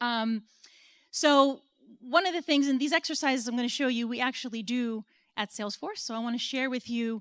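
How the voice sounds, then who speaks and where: A woman with an American accent and a high pitch talks at a fairly quick pace in a dry, close sound with no echo, on a very clean recording with a silent background. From United States. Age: 40s. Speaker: business consultant and speaker. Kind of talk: conference talk.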